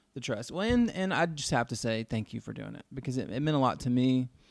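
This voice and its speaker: The recording is very clean, with a silent background. A man has a plain, everyday voice at a medium pitch, with ordinary pitch variation. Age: 40s. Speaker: podcast host. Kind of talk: casual chat.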